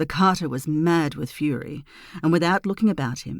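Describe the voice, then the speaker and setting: Very deep and low in pitch, a woman with an Australian accent speaks at a fairly slow pace with ordinary pitch variation. The recording is very clean, with a silent background. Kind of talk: fairy tale reading; bedtime story.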